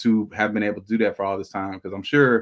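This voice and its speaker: A man with an American accent talking at a very fast pace, in a dry, close sound with no echo. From Alabama (Tuskegee). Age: 30s. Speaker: rapper. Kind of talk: casual interview.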